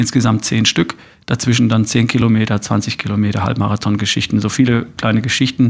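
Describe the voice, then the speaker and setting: This man talks at a fairly quick pace with very even loudness. His intonation is monotone and flat. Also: medium pitch for a man. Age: 50s. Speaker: podcaster and coach. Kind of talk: interview. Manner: hesitant fillers.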